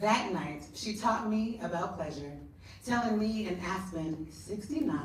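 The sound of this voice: The clip features an unforced reading voice.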